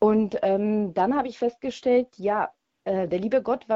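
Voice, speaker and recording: A woman with a Polish accent talks at a moderate pace. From Poland. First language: Polish (speaking German). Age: 40s. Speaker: radio caller. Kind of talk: testimony.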